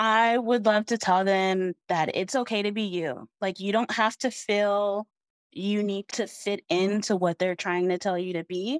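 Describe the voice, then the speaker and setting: An American woman with an unremarkable speaking voice, medium pitch and fairly even intonation. The sound is dry and close with no echo, and the recording is very clean over a silent background. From Arizona, US (Chandler). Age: 30s. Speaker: warehouse manager. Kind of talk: interview, personal story.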